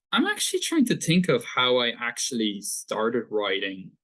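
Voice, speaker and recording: At a moderate speed, a man is talking. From Ireland, Dublin. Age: 20s. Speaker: author. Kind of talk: podcast interview.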